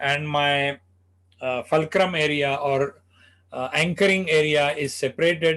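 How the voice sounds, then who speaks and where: Against a quiet background, a man with an Indian accent speaks very slowly at a fairly high pitch with fairly even intonation. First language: Marathi. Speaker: spine surgeon. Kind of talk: medical lecture.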